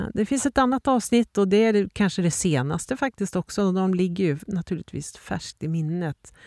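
Speaking at a moderate pace with hardly any pauses, a woman uses lively intonation at medium pitch, recorded very cleanly against a silent background with a dry, close sound and no echo. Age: 50s. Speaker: podcast host and leadership coach. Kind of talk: reflective solo monologue. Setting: outdoors in the mountains.

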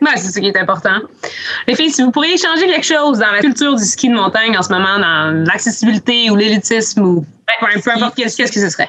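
A woman at a very fast pace, fairly high in pitch, with lively intonation and very even loudness. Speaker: podcast host, ski coordinator. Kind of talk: casual chat.

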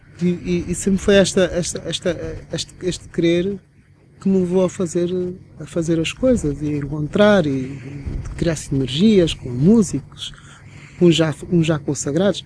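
The speech moves at a moderate pace with ordinary pitch variation, and there is noticeable background noise. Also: man. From Angola. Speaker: DJ. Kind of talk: interview conversation. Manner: halting, with repetitions.

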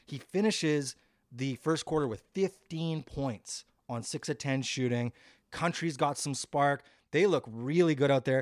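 Fairly high-pitched man's voice, dry and close with no echo, on a very clean recording with a silent background. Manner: animated, quick-paced and enthusiastic, laughing, with play-by-play rhythm.

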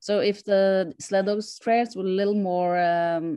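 The speaker has a Norwegian accent and ordinary pitch variation. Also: woman. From Norway. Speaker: sled dog racer, world champion. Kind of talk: interview.

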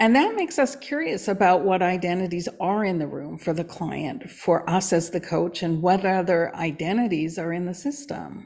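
At a moderate pace and with hardly any pauses, a woman with an ordinary speaking voice talks in a fairly low pitch with lively intonation. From Canada. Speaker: coach and podcast co-host. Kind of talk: casual chat.

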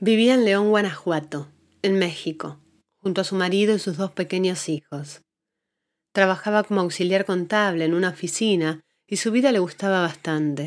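A woman's unremarkable speaking voice at medium pitch, ordinary pitch variation and a moderate pace, in a very clean recording with a silent background. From Argentina. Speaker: podcast host and journalist. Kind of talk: scripted narration.

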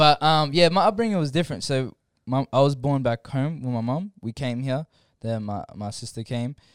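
A man speaks at a moderate pace with lively intonation and a fairly high pitch, his voice dry and close with no echo. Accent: Australian. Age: 20s. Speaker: podcast guest, storyteller. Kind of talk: casual chat.

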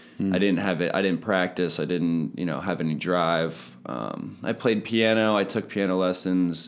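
Here a man with an American accent and a very deep, low pitch speaks at a moderate pace, with ordinary pitch variation and hardly any pauses. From Pennsylvania (Palmyra). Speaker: personal trainer. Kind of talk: testimony.

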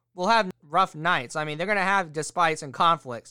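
Recorded very cleanly with a silent background and a dry, close sound with no echo, a man speaks in a raised, projected voice with a bright, sharp tone. His pace is fairly quick, with ordinary pitch variation. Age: 20s. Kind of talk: solo podcast monologue. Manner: casual, rambling.

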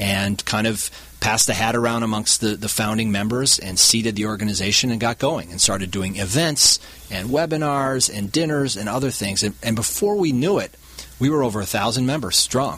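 A man with an American accent speaks at a fairly quick pace in a fairly low voice, with ordinary pitch variation and noticeable background noise. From Wisconsin, Milwaukee area. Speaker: hedge fund CEO, former lawyer. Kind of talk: radio interview. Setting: studio.

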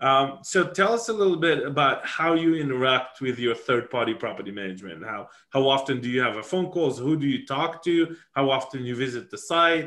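Fairly quick with hardly any pauses, a man with a non-native accent speaks at a fairly high pitch with lively intonation. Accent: foreign. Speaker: podcast host.

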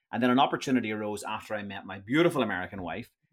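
A man speaks in a Northern Irish accent at a fairly low pitch with ordinary pitch variation. The sound is dry and close with no echo, on a very clean recording with a silent background. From Northern Ireland. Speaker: tour company founder. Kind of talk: interview.

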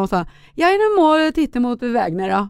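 A woman's fairly high voice at a moderate pace, in a very clean recording with a silent background. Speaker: pop singer and children's author. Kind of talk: casual interview chat.

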